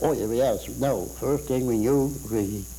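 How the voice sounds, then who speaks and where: A man is talking. His voice has vocal fry. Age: 80s+. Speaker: war veteran. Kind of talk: interview answer. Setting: studio.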